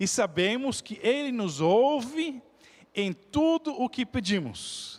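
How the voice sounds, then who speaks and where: Extremely high pitch for a man, with very wide pitch swings, a non-native accent and a very slow pace. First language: not Portuguese (speaking Portuguese). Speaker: pastor. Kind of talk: sermon. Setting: church.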